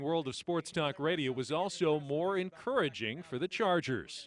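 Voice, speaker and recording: Speaking in an unremarkable speaking voice, a man keeps a moderate pace and a fairly high pitch with ordinary pitch variation. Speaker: sports anchor and reporter. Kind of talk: TV news package narration.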